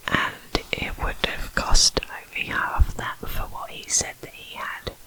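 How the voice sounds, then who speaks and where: Through noticeable background noise, a woman can be heard whispering. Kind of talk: true crime ASMR narration. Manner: whispered.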